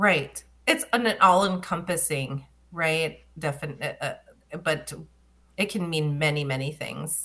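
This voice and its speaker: In an American accent, a woman speaks very slowly at a very deep, low pitch, her tone bright and sharp with ordinary pitch variation. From Menominee Reservation, Wisconsin. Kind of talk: radio interview. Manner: halting, many ums and restarts.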